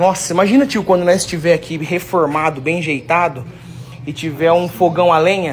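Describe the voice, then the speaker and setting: A man's high-pitched voice with light background noise. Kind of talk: casual vlog chat. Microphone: phone near.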